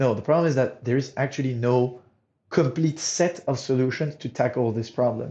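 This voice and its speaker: Against a quiet background, a man with a Monegasque accent talks at a moderate pace and medium pitch, his dark, mellow tone somewhat breathy. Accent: non-British accent, from Monaco. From Monaco. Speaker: startup co-founder, materials engineer. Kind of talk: interview.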